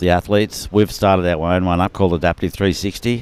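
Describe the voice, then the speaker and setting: A man with an Australian accent speaks at a fairly quick pace in a very deep, low pitch. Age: 60s. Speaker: adaptive surfing athlete. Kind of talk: live commentary.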